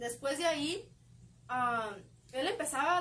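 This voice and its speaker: Her pitch is high, and a woman speaks with lively intonation. Audible room echo surrounds the voice. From Mexico, León, Guanajuato. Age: 20s. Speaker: young church group member. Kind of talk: faith testimony. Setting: live stream from a bookstore.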